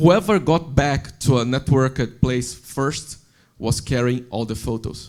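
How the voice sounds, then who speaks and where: A man speaks with a non-native accent at a medium pitch. His pace is fairly slow, with ordinary pitch variation. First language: not English. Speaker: software developer, panelist. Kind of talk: panel discussion.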